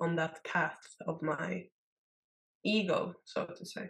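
Her voice somewhat breathy, a woman speaks at a fairly low pitch. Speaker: podcast co-host. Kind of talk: casual chat. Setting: video call.

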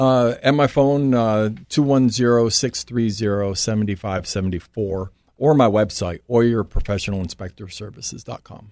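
Against a quiet background, a man of medium pitch talks in a plain, everyday voice at a moderate pace, with ordinary pitch variation and big swings in loudness. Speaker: home inspector. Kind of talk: casual interview chat. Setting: studio.

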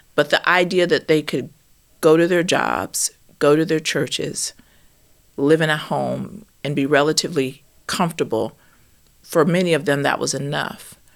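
A woman with an American accent, very deep and low in pitch, with vocal fry, a moderate pace, and long, frequent pauses. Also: fairly even intonation, very clean recording, silent background. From US South, Alabama. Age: 50s. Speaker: novelist and professor. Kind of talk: interview.

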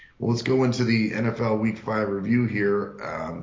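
A man with a fairly low voice talks in a room with audible echo. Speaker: sports betting podcast co-host. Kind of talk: casual chat.

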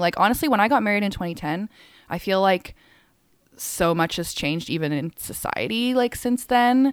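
In a Canadian accent, a woman talks fairly quickly at a medium pitch with lively intonation, in a normal speaking voice. The sound is dry and close, with no echo. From Hong Kong and Calgary, Canada. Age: 30s. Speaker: DJ and music writer. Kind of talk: casual chat.

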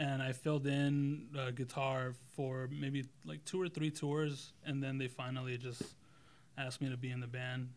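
With an American accent, a man speaks at a moderate pace and medium pitch. His is a plain, everyday voice with fairly even intonation. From Los Angeles (Mid City). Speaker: cinematographer and graphic designer. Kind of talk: casual interview chat.

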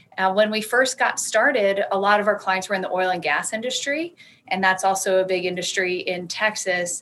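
An American-accented woman at a medium pitch with ordinary pitch variation, speaking at a moderate pace over noticeable background noise. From US South, Alabama. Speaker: art consultant and business owner. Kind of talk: interview.

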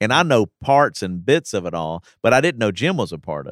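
A plain, everyday voice: a man with an American accent and a fairly low pitch speaks at a moderate pace, in a dry, close sound with no echo on a very clean recording with a silent background. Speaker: pastor. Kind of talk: casual chat. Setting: studio.

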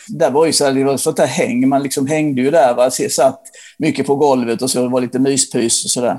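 Dark, mellow tone at a fairly quick pace with fairly even intonation. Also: man, fairly high pitch for a man. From Sweden, Blekinge (Ronneby). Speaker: rock journalist. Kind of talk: casual interview chat. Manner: halting, with repetitions and fillers.

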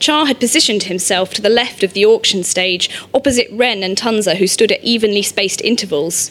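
This is a natural reading voice. The delivery stays that way throughout.

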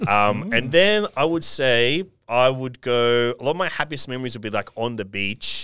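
Bright and sharp in tone, a man with an Australian accent talks at a medium pitch and a moderate pace. His intonation is lively, and the recording is very clean with a silent background. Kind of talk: casual chat. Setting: studio.

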